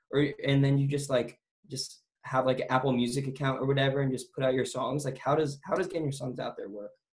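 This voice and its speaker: Talking at a very fast pace, a somewhat breathy man with a fairly high pitch keeps a monotone, flat intonation. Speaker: podcast host. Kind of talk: casual interview chat.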